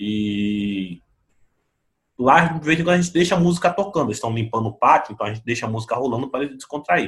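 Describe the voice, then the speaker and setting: A somewhat breathy man's voice at medium pitch, with very wide pitch swings. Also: fairly quick pace. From Brazil, São Vicente (São Paulo coast). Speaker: pastor and theology author. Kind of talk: podcast interview.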